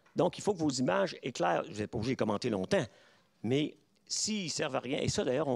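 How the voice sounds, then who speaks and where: Recorded very cleanly against a silent background, a man at medium pitch makes very wide pitch swings. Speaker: professor. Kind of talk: lecture. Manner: halting.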